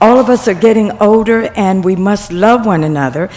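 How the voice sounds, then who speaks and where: Against noticeable background noise, a woman at medium pitch speaks with lively intonation. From Mobile, Alabama. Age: 70s. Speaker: senior center member. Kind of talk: public comment at council meeting. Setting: city council meeting.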